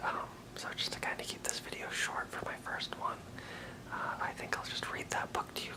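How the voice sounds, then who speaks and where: A man whispering over noticeable background noise. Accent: American. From Maine. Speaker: aspiring stand-up comedian. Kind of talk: ASMR casual talk to camera. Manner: hesitant.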